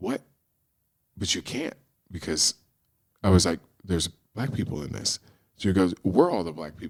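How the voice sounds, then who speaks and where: A man with a Pacific Northwest accent, very deep and low in pitch, with an animated tone, lively intonation, a moderate pace, long and frequent pauses, big swings in loudness and a dry, close sound with no echo. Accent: American (Pacific Northwest). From US Pacific Northwest (Portland, Oregon). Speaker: screenwriter, storyteller and Broadway actor. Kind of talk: storytelling interview.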